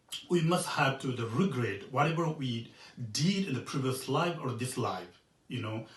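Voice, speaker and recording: A man with a Tibetan accent speaks somewhat breathily, and audible room echo surrounds his voice. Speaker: Buddhist monk teacher. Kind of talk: dharma teaching. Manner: halting, many fillers.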